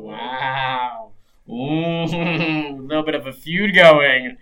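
This is a put-on character voice at low-to-middle pitch. It moves at a very slow pace. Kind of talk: broadcast host voice. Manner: bright, showy, upbeat.

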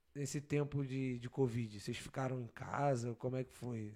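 A man speaks at a moderate pace in a dark, mellow tone over a quiet background. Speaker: podcast host. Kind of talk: casual chat. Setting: live stream. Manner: casual, slangy.

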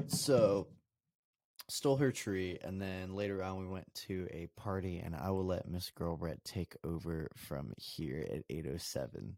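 A man's very deep, low voice with a dark, mellow tone and lively intonation, at a fairly slow pace in an American accent, on a very clean recording with a silent background and a dry, close sound with no echo. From Colorado. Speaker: podcast co-host. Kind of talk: casual chat.

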